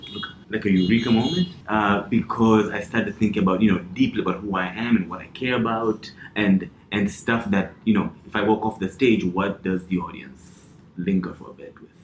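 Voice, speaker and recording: A man's fairly low voice with fairly even intonation, big swings in loudness and noticeable background noise. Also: fairly quick pace. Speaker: comedian. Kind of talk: casual chat. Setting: studio. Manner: halting.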